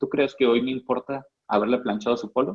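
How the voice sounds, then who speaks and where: At a moderate pace, a man speaks in an ordinary speaking voice at a medium pitch. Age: 20s. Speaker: network marketing distributor. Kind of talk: training talk.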